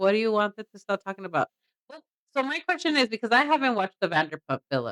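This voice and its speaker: Very fast and at a fairly high pitch, a woman with a Mexican accent talks with very wide pitch swings and big swings in loudness, in a dry, close sound with no echo. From Mexican heritage. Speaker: reaction podcast co-host. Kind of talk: casual chat. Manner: animated.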